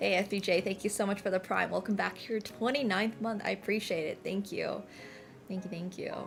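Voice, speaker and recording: A woman at a medium pitch talks at a fairly quick pace, with music playing in the background. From Finland, later Canada. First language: Finnish. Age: 20s. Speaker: chess streamer. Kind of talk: live stream chat. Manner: casual, animated.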